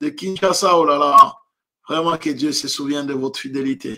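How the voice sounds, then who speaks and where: Against a quiet background, the voice has a bright, sharp tone and a fairly slow pace. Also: man. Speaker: preacher. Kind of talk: sermon. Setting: online livestream from home. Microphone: webcam.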